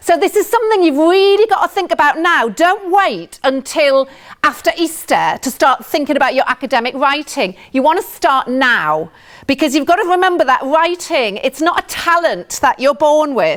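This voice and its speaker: This woman's high-pitched voice carries lively intonation and very even loudness throughout. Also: moderate pace. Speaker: university language and writing tutor. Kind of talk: lecture. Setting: lecture theatre with audience.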